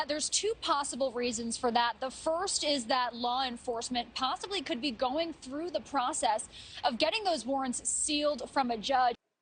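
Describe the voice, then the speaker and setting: A high-pitched woman's voice at a moderate pace, with ordinary pitch variation and hardly any pauses. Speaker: TV news reporter. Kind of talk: on-location stand-up / live shot.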